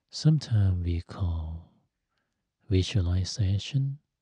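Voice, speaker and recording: A man's very deep, low voice with a dark, mellow, calm tone, soft-spoken and somewhat breathy, lively intonation, dry sound with no echo and a quiet background. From Thailand. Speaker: Buddhist monk and meditation teacher. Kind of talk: guided meditation. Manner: slow, calm, soft-spoken. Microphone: studio mic.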